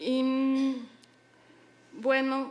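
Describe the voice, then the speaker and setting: A woman with a French accent and a high-pitched voice. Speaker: daughter of the late poet. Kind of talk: memorial speech. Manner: halting.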